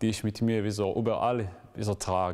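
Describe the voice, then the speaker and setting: An Israeli accent marks this man's fairly low voice. His tone is dark and mellow, his intonation fairly even. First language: Hebrew (speaking German). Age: 20s. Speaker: graduate student; interviewee. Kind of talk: interview; interview answer. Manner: halting, with frequent fillers. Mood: thoughtful, calm. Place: church.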